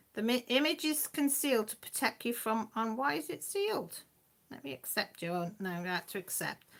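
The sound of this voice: Lively intonation and vocal fry run through a fairly bright tone delivered at a moderate pace. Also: woman, fairly high pitch for a woman.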